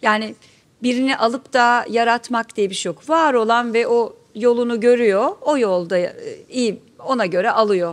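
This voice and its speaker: A woman with a fairly high pitch speaks fairly slowly, her pitch varying in an ordinary way. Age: 60s. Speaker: actress. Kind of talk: panel talk. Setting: stage with audience. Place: stage.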